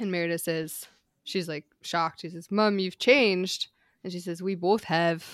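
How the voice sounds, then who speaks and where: On a very clean recording with a silent background, a woman speaks in a plain, everyday voice at fairly low pitch and a moderate pace, with fairly even intonation and big swings in loudness. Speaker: podcast co-host, screenwriter. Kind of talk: casual chat.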